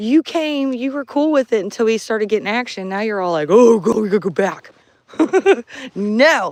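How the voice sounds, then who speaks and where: The voice has an animated tone and moves at a moderate pace. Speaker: paranormal livestreamer. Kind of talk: live outdoor vlog. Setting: outdoors at night. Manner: loud.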